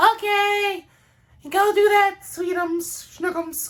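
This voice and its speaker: A female-sounding voice does a put-on character voice at an extremely high pitch. The delivery is very slow. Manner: sweet, pet-name endearing tone.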